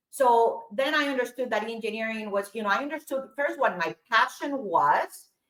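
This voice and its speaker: A woman with a Spanish accent speaks at a fairly high pitch and moderate pace with lively intonation. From Colombia. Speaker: aerospace engineer and entrepreneur. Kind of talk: interview conversation.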